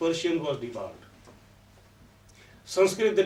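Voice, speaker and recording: A man speaks at a moderate pace and high pitch in a Punjabi accent. Room echo is audible. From Punjab, India. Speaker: professor of English. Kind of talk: conference talk.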